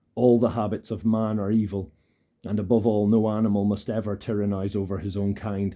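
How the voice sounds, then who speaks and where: A man with a Scottish accent speaks at a fairly low pitch in a dark, mellow tone with monotone, flat intonation. The recording is very clean, with a silent background. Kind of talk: ASMR audiobook reading. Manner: soft-spoken, calm.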